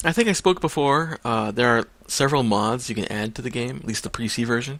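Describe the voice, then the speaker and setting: On a very clean recording with a silent background, a man mumbles with ordinary pitch variation. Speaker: gaming video creator. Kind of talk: let's play commentary. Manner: mumbling; casual, hesitant.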